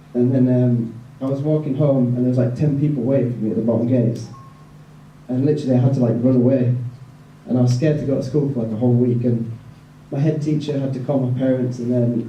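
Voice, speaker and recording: A man talks at a very fast pace in a medium pitch, his intonation monotone and flat. Audible room echo and noticeable background noise surround him. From northern England, West Yorkshire (Bradford). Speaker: evangelist. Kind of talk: testimony. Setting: event with audience, handheld mic. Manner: casual, many fillers (like, um).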